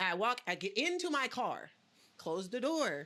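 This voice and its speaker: The tone of this woman is animated. Her voice sits at a fairly high pitch. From Los Angeles, US. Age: 20s. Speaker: podcast guest. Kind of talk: casual chat. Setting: studio.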